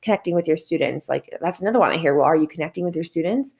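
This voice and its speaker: A woman's fairly low-pitched voice with ordinary pitch variation. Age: 30s. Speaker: podcast host and math teacher. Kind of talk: solo podcast monologue. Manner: casual, conversational with fillers.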